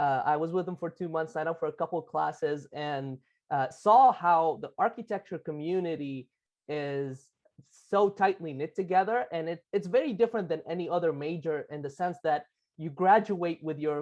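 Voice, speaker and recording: A man speaks with a Lebanese accent. His pitch sits high for a male voice. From Lebanon. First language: Arabic. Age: 20s. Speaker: architect, business owner. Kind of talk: interview. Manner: halting.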